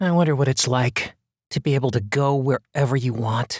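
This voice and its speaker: Here a man puts on a character voice. He holds a medium pitch and a moderate pace. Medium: read story. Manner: wistful, self-deprecating.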